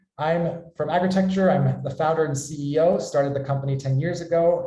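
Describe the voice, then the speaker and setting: An American man with a dark, mellow tone talks at a fairly quick pace, his pitch fairly high with ordinary variation. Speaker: company founder and webinar host. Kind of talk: webinar presentation.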